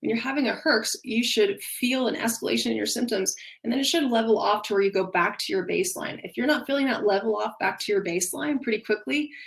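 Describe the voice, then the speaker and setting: Vocal fry runs through very fast speech with lively intonation. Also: woman, fairly high pitch for a woman. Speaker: functional nutrition practitioner. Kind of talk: webinar presentation. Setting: online webinar with screen share.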